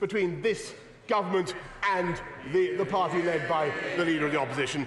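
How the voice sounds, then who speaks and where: Someone with a British accent talks at a moderate pace over noticeable background noise. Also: man. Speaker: prime minister, politician. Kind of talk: parliamentary debate speech.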